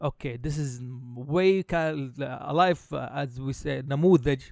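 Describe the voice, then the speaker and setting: With an Arabic accent, a man speaks at a very slow pace and a fairly high pitch, showing ordinary pitch variation and big swings in loudness. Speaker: podcast host. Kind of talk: casual chat. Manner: halting, many fillers.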